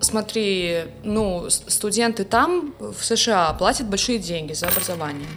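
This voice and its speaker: With music in the background, the speaker goes at a very slow pace with hardly any pauses. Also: woman, medium pitch for a woman, lively intonation. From Russia, Saint Petersburg. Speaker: music professor and composer. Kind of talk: casual interview chat. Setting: studio.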